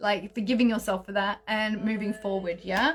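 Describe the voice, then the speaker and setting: Music plays behind a woman with an Australian accent. Her pitch is fairly high, her pace moderate, and her intonation fairly even. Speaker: astrologer and tarot reader. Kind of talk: live stream tarot channelling and guided breathing. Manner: high energy.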